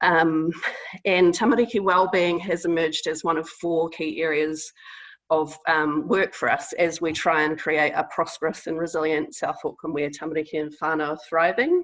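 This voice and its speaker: A woman with a New Zealand accent, fairly low in pitch, at a moderate pace. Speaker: public health innovation team member. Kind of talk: webinar presentation. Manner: hesitant, many fillers.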